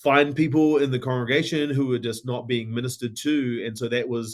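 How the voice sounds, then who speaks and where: With a New Zealand accent, a man talks at a fairly quick pace. His pitch is medium and his intonation fairly even. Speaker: tech company founder and ministry organization CEO. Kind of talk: podcast interview.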